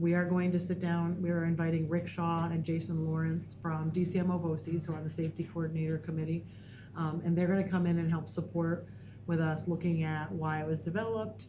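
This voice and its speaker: Soft-spoken and somewhat breathy, a woman with a fairly low pitch and a dark, mellow tone talks very fast with fairly even intonation amid audible room echo. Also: very even loudness. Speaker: school district administrator. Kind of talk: board meeting report.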